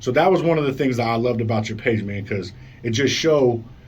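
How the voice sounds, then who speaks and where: A man's fairly quick speech with audible room echo. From Colorado. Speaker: radio show host. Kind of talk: casual interview. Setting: radio studio. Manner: animated.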